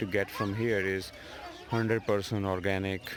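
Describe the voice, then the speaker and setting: This man speaks with a Gujarati accent in a fairly low voice. His intonation is flat and monotone. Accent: Indian English (Gujarati). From Gujarat, India. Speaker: tech educator. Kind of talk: casual vlog talk to camera. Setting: outdoors.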